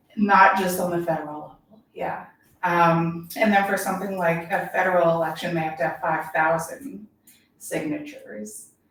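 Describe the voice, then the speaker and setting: The speaker talks at a moderate pace with lively intonation. Room echo can be heard. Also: woman, fairly low pitch for a woman. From Kentucky, Louisville east end. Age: 40s. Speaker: political candidate. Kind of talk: interview. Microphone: too far from the mic at first.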